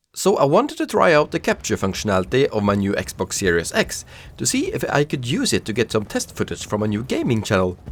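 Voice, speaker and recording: A man with a non-native accent talks at a fairly quick pace with hardly any pauses. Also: very clean recording, silent background. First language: not English. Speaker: gaming youtuber. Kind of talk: gameplay commentary narration.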